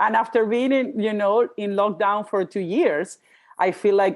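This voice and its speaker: A woman talks with a Spanish accent. Her pace is fairly slow. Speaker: podcast host, life coach. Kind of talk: casual interview chat. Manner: halting, self-interrupting.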